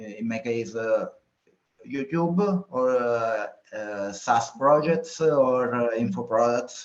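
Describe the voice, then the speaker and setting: A man with an Italian accent speaks at a very slow pace. His medium pitch shows ordinary variation. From Italy, Sicily. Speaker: entrepreneur, newsletter creator. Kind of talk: research interview. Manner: halting, many fillers.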